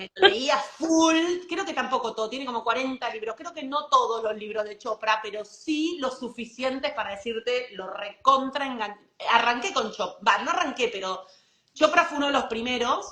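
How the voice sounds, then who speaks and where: At a moderate pace, a woman with a high pitch uses lively intonation and big swings in loudness. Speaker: author and leadership mentor. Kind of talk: casual interview chat. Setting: livestream video call.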